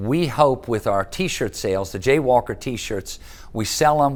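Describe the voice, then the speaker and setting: A man's lively intonation carries speech at a fairly slow pace. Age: 60s. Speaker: city manager living with Alzheimer's, awareness advocate. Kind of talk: interview testimony. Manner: halting with fillers and restarts.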